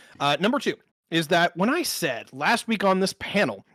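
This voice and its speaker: Recorded with a dry, close sound and no echo, a man is speaking. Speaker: panelist. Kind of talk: heated debate.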